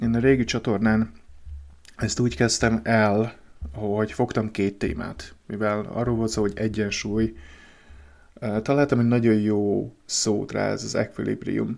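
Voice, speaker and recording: Speaking at a fairly slow pace with fairly even intonation, a man is heard on a very clean recording against a silent background. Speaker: podcaster on emotional wellbeing. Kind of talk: solo podcast monologue. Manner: halting.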